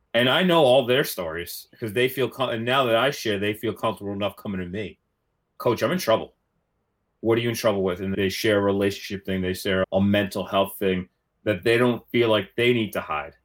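A man's fairly quick speech in a plain, everyday voice, fairly low in pitch with ordinary pitch variation. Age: 30s. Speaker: college rowing coach. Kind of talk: casual chat.

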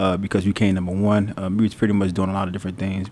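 A man speaks with an American accent in a very deep, low voice. His intonation is flat and monotone. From Florida, then New Jersey from age 14. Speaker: trucking business owner. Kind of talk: casual interview. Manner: halting, many fillers.

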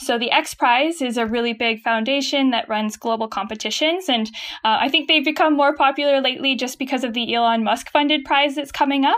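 With a Canadian accent, a woman talks at a very fast pace and a high pitch, with ordinary pitch variation and hardly any pauses. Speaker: startup chief of staff. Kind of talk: casual interview chat.

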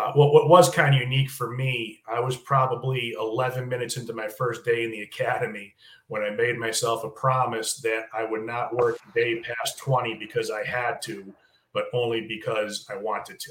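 A man's medium-pitched, an ordinary speaking voice at a moderate pace with fairly even intonation. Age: 50s. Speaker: criminal justice professor and retired corrections officer. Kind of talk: casual interview.

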